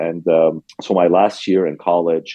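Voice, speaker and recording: This is a man speaking. He talks with a Lebanese accent. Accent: Lebanese accent, still noticeable. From Lebanon. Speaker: restaurant owner. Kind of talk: interview. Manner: frequent fillers, hesitant.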